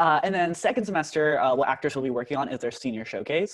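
There is a quiet background as a man with an American accent talks with ordinary pitch variation. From Irvine, California; California. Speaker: university student tour guide. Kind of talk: informational presentation. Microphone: video call.

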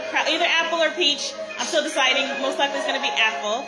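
A woman speaks with ordinary pitch variation. Music plays in the background. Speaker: home cook livestreamer. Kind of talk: casual vlog chat. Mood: cheerful, warm. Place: kitchen. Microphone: phone near.

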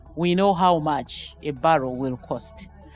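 A woman's fairly low voice with ordinary pitch variation, at a fairly slow pace, in a dry sound with no echo and faint music in the background. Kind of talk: interview answer. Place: hall. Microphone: handheld.

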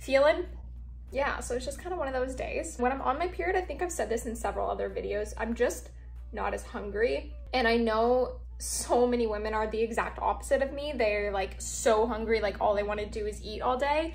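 Faint music sits behind the speech. The woman talks fairly quickly. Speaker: vlogger. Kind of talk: casual vlog chat. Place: home room. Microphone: phone near.

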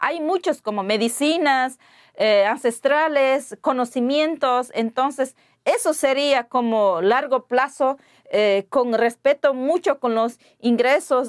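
In a quiet background, a woman with a high pitch speaks at a very slow pace, with ordinary pitch variation and very even loudness. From Ecuadorian Amazon, Pastaza. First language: Waorani (speaking Spanish). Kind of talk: interview. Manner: halting. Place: studio. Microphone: lapel.

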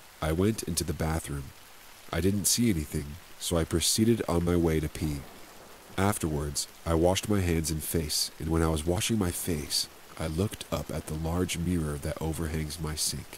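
A man speaks at a moderate pace in a very deep, low voice with fairly even intonation. Noticeable background noise runs under the recording. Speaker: ASMR story narrator. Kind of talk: scripted narration of creepy stories, ghost story telling. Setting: ambient rain background, sleep aid. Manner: suspenseful, eerie.

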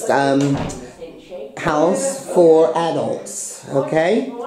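Noticeable background noise behind a very slow pace of speech. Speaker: vlogger. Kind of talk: casual vlog chat. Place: home room. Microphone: phone near.

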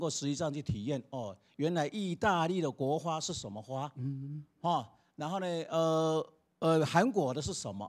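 A man speaks at a fairly slow pace with very wide pitch swings. Behind him, the background is quiet. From Taiwan. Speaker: school principal. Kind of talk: interview. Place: hall. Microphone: handheld.

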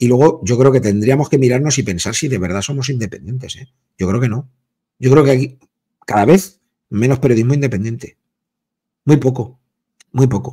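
A man talks in an animated tone at a fairly quick pace, somewhat breathy, with ordinary pitch variation. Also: quiet background. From Spain. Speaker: sports journalist. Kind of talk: casual debate. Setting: video call. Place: home room. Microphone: video call.

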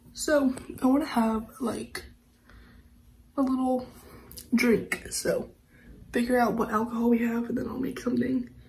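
Over noticeable background noise, a woman with a high pitch speaks at a moderate pace in a relaxed tone, her intonation monotone and flat, with long, frequent pauses. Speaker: lifestyle vlogger. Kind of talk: casual vlog talk. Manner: chatty, relaxed.

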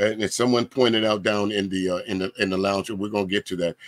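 The man's fairly quick speech comes through dry and close, with no echo. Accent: Southern US. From US South. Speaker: DJ and livestream host. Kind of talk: casual panel discussion. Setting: video call livestream.

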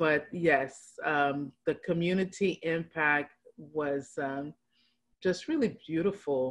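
A woman's very deep, low voice at a very slow pace, with fairly even intonation. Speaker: social worker; guest. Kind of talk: casual interview chat. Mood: warm, reflective. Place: home room. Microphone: video call.

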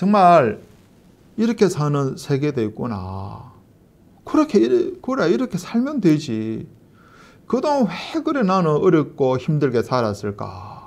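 A man's very slow speech, fairly high in pitch, with very wide pitch swings. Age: 50s. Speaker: missionary; pastor. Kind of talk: testimony. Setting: online church meeting. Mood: earnest, warm. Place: home room.

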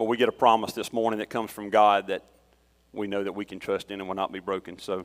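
A man talks at a very fast pace with a Southern US accent. His pitch is fairly low, and his intonation is monotone and flat. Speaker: lay preacher and youth leader. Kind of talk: sermon. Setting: church.

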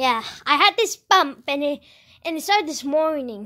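A raised, projected voice with a bright, sharp tone swings very widely in pitch against a quiet background. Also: woman. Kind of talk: toy play acting with character voices. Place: home room. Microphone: phone near.

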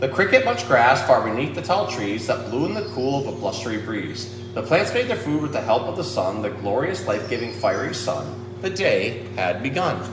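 Over clear background music, a man at medium pitch speaks at a moderate pace with few pauses and big pitch swings.

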